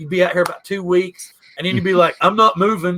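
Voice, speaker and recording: A man speaks at a high pitch with a Southern US accent. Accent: Southern drawl. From US South, Southwest Virginia. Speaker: podcast host. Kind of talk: casual chat.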